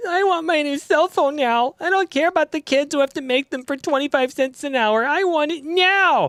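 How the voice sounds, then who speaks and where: Whiny and high-pitched, this put-on character voice moves at a moderate pace. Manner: entitled.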